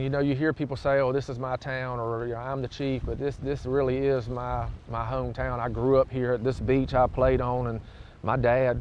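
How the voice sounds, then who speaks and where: The speech comes at a moderate pace with monotone, flat intonation. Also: man, medium pitch for a man. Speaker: police chief. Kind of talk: interview answer. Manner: emotional, reflective.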